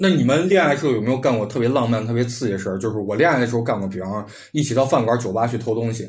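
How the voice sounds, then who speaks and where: Speaking at a very fast pace with hardly any pauses, a man with a medium pitch and ordinary pitch variation sounds somewhat breathy amid audible room echo. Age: 30s. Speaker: podcast host. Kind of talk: casual chat.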